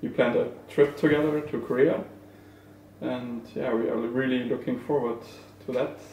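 A man speaks with a German accent and fairly even intonation, with audible room echo and noticeable background noise. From Germany. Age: young. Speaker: esports player. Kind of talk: casual chat.

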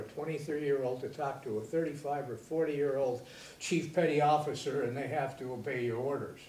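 Speaking with an American accent at a fairly quick pace with hardly any pauses, a man has a fairly high pitch and ordinary pitch variation, with audible room echo and light background noise. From Michigan, USA. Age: 80s+. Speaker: Navy veteran, former college president. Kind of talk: interview answer. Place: studio.

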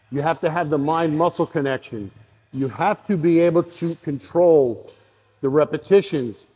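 This man's dark, mellow voice sits fairly high for a man, with ordinary pitch variation at a moderate pace. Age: 50s. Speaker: fitness coach. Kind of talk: instructional video talk. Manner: emphatic. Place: gym. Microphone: lapel.

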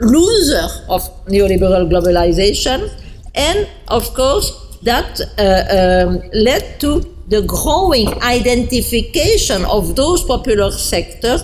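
Music plays in the background as a woman talks at a very slow pace with very even loudness. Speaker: speaker. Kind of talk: lecture. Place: hall. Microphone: podium.

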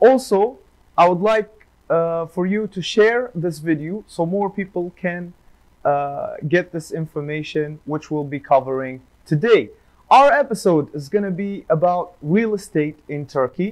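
Against a quiet background, a man with a high pitch and lively intonation speaks at a fairly slow pace. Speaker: podcast host for a real estate firm. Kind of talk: informational podcast intro. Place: studio. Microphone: lapel.

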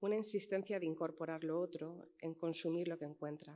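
At a fairly quick pace, a woman speaks with a dark, mellow tone, fairly low pitch and fairly even intonation. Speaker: editor and panelist. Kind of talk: panel talk. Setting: auditorium with audience. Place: hall. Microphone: podium.

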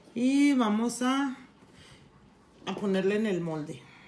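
Slow and lively in intonation, a woman talks at a fairly high pitch with a slightly mellow tone.

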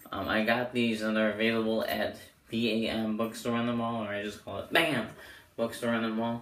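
A man's medium-pitched voice with audible echo from the room. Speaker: amateur magician reviewing playing cards. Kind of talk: product review video. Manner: casual, filler-heavy.

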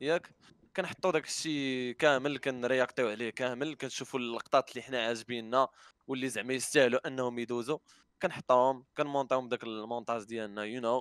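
A man with a normal speaking voice and medium pitch talks at a fairly quick pace with fairly even intonation, the sound dry with no echo against a quiet background. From Morocco. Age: 20s. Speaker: YouTuber and streamer; YouTuber, streamer. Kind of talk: casual interview. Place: home room. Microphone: headset.

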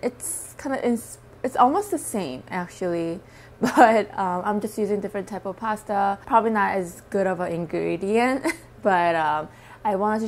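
With ordinary variation in her pitch, a woman keeps to a moderate speed. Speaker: eating vlogger. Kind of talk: casual vlog chat. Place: home room. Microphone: lapel.

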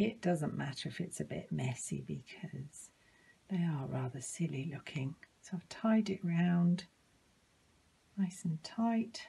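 A woman's fairly low, dark, mellow voice with vocal fry, lively intonation, a fairly slow pace, and long, frequent pauses. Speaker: librarian. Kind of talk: children's craft tutorial. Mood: cheerful, gentle. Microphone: phone near.

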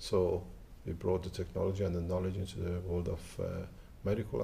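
A man's voice sits at a very deep, low pitch, dark and mellow with vocal fry. His pitch varies in an ordinary way over light background noise. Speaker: interviewee. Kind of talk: interview answer. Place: street. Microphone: lapel.

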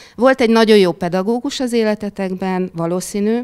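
A woman's voice with ordinary pitch variation and a quiet background. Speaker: primary school teacher. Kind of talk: panel discussion. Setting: stage with audience. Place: meeting room. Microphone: handheld.

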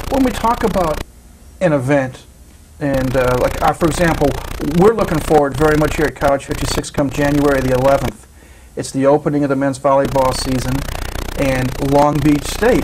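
A man speaks at a moderate pace with ordinary pitch variation, leaving long, frequent pauses. Noticeable background noise runs under his voice. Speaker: college sports TV show host. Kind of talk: sports talk show interview. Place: studio.

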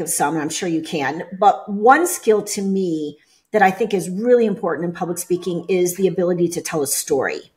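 A woman speaks at a moderate pace and medium pitch, with ordinary pitch variation. Her tone is slightly mellow.

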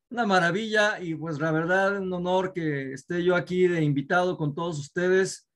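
Over a quiet background, a man with a high voice speaks at a fairly slow pace. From Mexico. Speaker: network marketing leader; host of business webinar. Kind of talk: Q&A, mentoring talk. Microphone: video call.

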